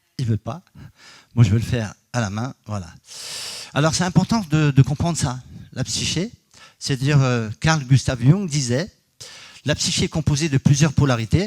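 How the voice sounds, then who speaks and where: A man's somewhat breathy, medium-pitched voice with lively intonation, at a moderate pace with long, frequent pauses, in a dry, close sound with no echo. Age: 60s. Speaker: energy healer and geobiologist. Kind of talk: conference talk. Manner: hesitant, many fillers.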